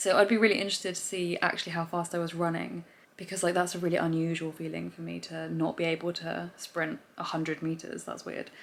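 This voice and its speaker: Very fast and with hardly any pauses, a woman speaks. Her pitch sits fairly low. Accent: English. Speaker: vlogger and amateur athlete. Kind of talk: casual vlog. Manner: animated.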